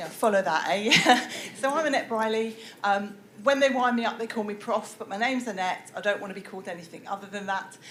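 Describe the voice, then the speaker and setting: A woman with a British accent speaks at a fairly quick pace and fairly high pitch, with ordinary pitch variation, big swings in loudness, audible room echo and noticeable background noise. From UK. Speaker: professor. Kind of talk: lecture.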